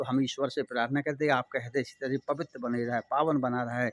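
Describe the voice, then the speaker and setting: A man speaks in a plain, everyday voice at a moderate pace, his pitch fairly high and his intonation fairly even, with a dry, close sound and no echo. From India, Bundelkhand (Chhatarpur, Madhya Pradesh). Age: 60s. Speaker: spiritual social motivational speaker. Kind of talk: moral talk to viewers.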